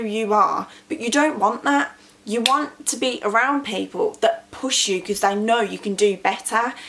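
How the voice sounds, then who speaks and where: Over noticeable background noise, a speaker with an English accent talks at a moderate pace with lively intonation and hardly any pauses. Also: woman. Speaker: small business owner and vlogger. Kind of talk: motivational talk to camera.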